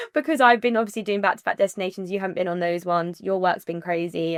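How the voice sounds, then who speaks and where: In a very clean recording with a silent background and a dry, close sound with no echo, a woman with a British accent speaks at a very fast pace. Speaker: wedding planner and podcast co-host. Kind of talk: casual chat. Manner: animated.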